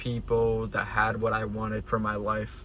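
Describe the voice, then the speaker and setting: A man's voice with audible room echo. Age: 19. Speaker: day trader and content creator. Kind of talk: casual motivational vlog. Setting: on the way home from the gym. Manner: casual, filler-heavy.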